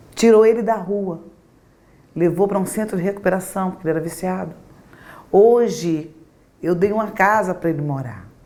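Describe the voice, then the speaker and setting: This woman's medium-pitched voice moves at a moderate pace, her pitch varying in an ordinary way. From Brazil, Rio Grande do Norte (Natal), moved to Rio at nine. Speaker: pastor. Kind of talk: interview testimony.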